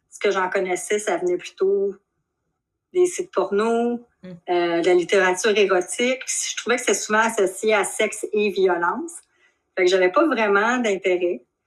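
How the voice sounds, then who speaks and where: Speaking at a fairly slow pace, a woman with a Quebec accent holds a medium pitch and ordinary pitch variation. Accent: Québécois French. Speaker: shibari practitioner. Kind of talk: interview. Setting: video call.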